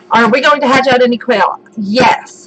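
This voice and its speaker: There is noticeable background noise. Over it, a woman talks. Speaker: homesteading channel host. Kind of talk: live stream chat. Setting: live stream. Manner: loud.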